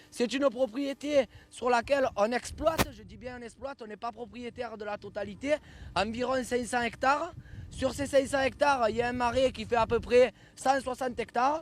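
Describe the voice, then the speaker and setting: A man speaks at an extremely high pitch with fairly even intonation. His loudness swings widely, and his pace is moderate. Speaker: bull ranch owner. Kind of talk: guided tour talk to visitors. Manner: hesitant, repeats words.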